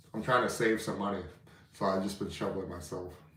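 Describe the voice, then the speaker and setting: A man talks at a very fast pace with a fairly low pitch. Audible room echo fills the recording. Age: 30s. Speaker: history and antiques YouTuber. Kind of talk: casual live stream chat. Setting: live stream from home. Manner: casual, filler-heavy.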